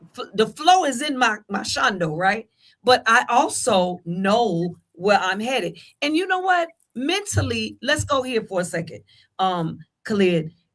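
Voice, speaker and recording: Speaking fairly slowly, a woman with a fairly high pitch makes very wide pitch swings. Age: 60s. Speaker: talk show host. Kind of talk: casual panel discussion.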